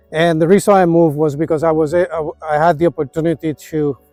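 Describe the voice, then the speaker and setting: Music plays in the background as a man talks at a fairly quick pace with fairly even intonation, the sound dry and close with no echo. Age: 60s. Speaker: retirement vlogger. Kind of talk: casual vlog monologue. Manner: halting.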